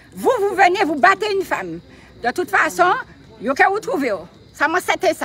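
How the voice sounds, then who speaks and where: With noticeable background noise, a woman talks at a fairly quick pace in an extremely high voice with lively intonation and long, frequent pauses. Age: 60s. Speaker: protest supporter. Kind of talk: impassioned public speech. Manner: animated.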